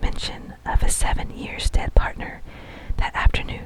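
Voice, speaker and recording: A whispered voice comes through noticeable background noise. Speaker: ASMR narrator reading a classic novel. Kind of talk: whispered ASMR bedtime book reading. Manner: whispered, soft, slow.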